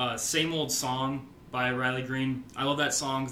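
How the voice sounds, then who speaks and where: A man with a medium pitch delivers his words in a monotone, flat intonation while noticeable background noise carries on. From Nebraska, Omaha. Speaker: podcast host, country music fan. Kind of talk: casual chat.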